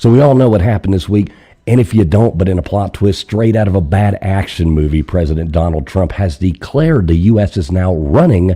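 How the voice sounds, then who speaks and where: A man with a very deep, low voice speaks at a moderate pace, his dark, mellow tone somewhat breathy and his intonation lively. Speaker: live call-in show host. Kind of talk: casual live-stream chat.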